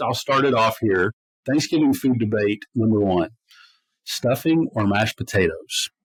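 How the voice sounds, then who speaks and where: A man with a normal speaking voice in an American accent, medium pitch, ordinary pitch variation and moderate pace, in a very clean, dry, close recording with no echo and a silent background. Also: very even loudness. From US, north of the Mason-Dixon line. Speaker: podcast co-host. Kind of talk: casual chat.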